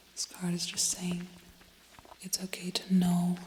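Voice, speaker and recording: Over noticeable background noise, a soft-spoken voice with a calm tone moves at a fairly slow pace. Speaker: tarot reader. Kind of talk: ASMR tarot reading. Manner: soft-spoken, calm.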